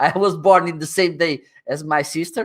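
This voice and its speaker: A man speaks at a fairly slow pace with a Portuguese accent, his pitch high. The recording is very clean, with a silent background. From northern Portugal. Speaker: livestreaming expert. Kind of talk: interview. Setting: livestream. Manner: animated.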